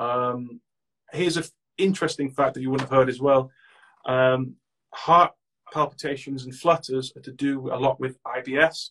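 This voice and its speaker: With a bright, sharp tone and a medium pitch, a man speaks at a moderate pace with long, frequent pauses and big swings in loudness, in a dry, close sound with no echo. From Manchester, England. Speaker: mental health advocate, anxiety page creator. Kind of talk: casual chat.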